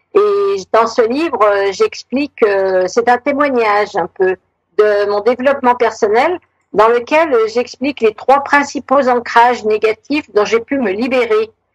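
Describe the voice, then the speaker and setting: The voice moves at a fairly slow pace with lively intonation, recorded dry and close with no echo. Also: woman, fairly high pitch for a woman. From Savoie, France. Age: 60s. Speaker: retired author. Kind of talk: radio interview. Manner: hesitant, many fillers.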